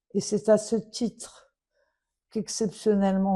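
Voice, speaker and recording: A woman's medium-pitched voice with a dark, mellow tone over a quiet background. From Morocco. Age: 70s. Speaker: daughter of a royal adviser making a public appeal. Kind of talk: personal appeal. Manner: emotional, earnest.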